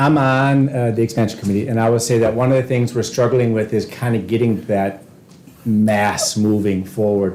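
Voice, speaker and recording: A man talks in a normal speaking voice at a medium pitch. His pace is fairly quick and his intonation fairly even. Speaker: school board member. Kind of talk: board meeting discussion.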